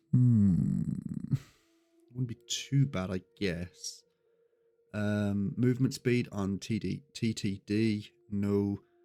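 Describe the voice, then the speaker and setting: A man's fairly low voice at a very slow pace, with ordinary pitch variation, long, frequent pauses and music in the background. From Birmingham, England. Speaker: gaming streamer. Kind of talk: live gameplay commentary. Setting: live stream. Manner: hesitant, many ums.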